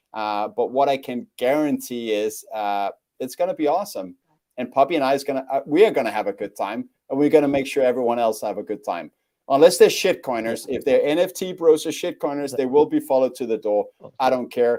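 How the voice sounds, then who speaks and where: At a fairly quick pace, a man speaks in a dark, mellow tone with lively intonation. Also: medium pitch for a man, very clean recording, silent background. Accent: non-native. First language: not English. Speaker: bitcoin event organizer. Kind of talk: podcast interview. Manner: halting, many fillers.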